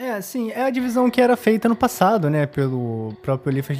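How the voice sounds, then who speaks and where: A man's voice at a moderate pace, with very wide swings in pitch. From Rio de Janeiro, Brazil. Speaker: podcast host. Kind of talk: casual podcast chat.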